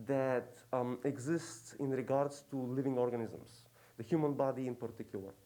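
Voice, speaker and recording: A man's dark, mellow tone with a non-native accent. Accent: noticeable foreign. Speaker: professor. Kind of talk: lecture. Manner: hesitant, many fillers.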